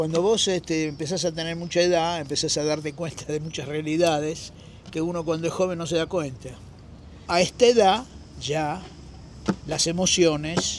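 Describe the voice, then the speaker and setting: A man with a Rioplatense accent talks at a moderate pace with fairly even intonation. He leaves long, frequent pauses. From Argentina. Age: 70s. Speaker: street musician, former theater actor. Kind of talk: interview answer.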